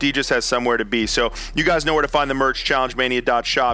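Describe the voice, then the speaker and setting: A man speaks very fast at a medium pitch with fairly even intonation. Noticeable background noise is present. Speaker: podcast host. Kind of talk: casual interview chat.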